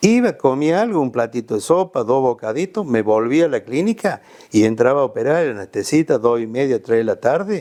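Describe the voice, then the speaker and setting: Fairly quick and dark, mellow in tone, a man's voice moves through very wide pitch swings. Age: 70s. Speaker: retired surgeon, physician. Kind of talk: interview, casual conversation.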